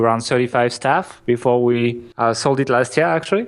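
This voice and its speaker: Very fast and with a French accent, a man speaks at a medium pitch with ordinary pitch variation. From France. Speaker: marketing entrepreneur. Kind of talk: podcast interview. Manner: halting, many restarts.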